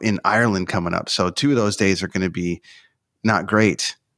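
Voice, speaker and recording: In a very clean recording with a silent background, a man with a Canadian accent uses a normal speaking voice at a fairly low pitch, a moderate pace and fairly even intonation. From Canada. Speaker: concert tour manager. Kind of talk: interview.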